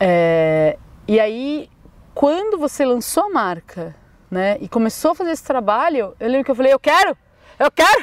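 A woman's high voice with very wide pitch swings at a moderate pace. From Brazil, São Paulo. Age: 30s. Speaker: educator and artist. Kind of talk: casual interview conversation. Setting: outdoors in a park.

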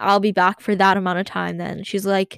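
Speaking at a moderate pace with monotone, flat intonation, a woman's medium-pitched voice sounds dry and close, with no echo. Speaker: podcaster. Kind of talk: casual solo rant. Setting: home closet room.

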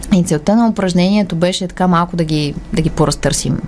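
Pitch varies in an ordinary way, and there is noticeable background noise. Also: woman. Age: young. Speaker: human rights organisation communications director. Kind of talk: radio interview.

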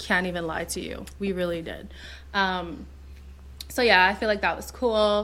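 A bright, sharp voice speaks at a moderate pace with fairly even intonation and long, frequent pauses. The loudness swings widely, and room echo is audible. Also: woman, medium pitch for a woman. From Zimbabwe, then Montreal. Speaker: podcast co-host. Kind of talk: casual chat.

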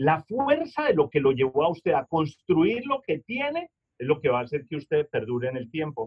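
Speaking slowly-ish at a fairly slow pace, a man uses a normal speaking voice with ordinary pitch variation. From Colombia, Manizales. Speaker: customer service speaker and author. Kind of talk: webinar lecture.

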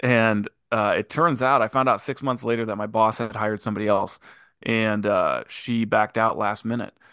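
Over a quiet background, a plain, everyday voice moves at a moderate pace with fairly even intonation. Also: man, medium pitch for a man. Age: 30s. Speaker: business partner and manager. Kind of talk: casual interview.

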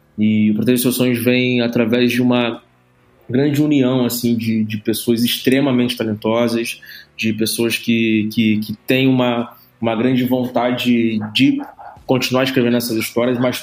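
This man's voice sits at a medium pitch and stays monotone and flat. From Brazil, Rio de Janeiro. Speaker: entrepreneur in music and media. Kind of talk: podcast interview. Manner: casual, slangy.

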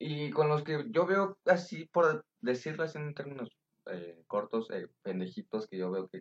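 A man's fairly high voice swings very widely in pitch, with a dry, close sound and no echo. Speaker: podcast guest. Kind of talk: casual chat.

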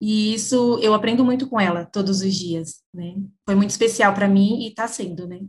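The voice is somewhat breathy, with fairly even intonation, a moderate pace and big swings in loudness. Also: woman, medium pitch for a woman. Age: 20s. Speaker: company employee in public sales team. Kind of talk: interview.

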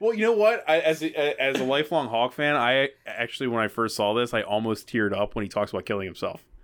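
Very fast speech with lively intonation and hardly any pauses. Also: man, medium pitch for a man. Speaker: screenwriting podcast co-host. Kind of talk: casual chat. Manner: laughs often.

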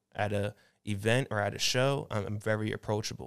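Fairly low in pitch, a man talks in an ordinary speaking voice with ordinary pitch variation. The recording is very clean and dry, close with no echo and a silent background. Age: 20s. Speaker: entrepreneur. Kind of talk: casual chat. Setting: studio.

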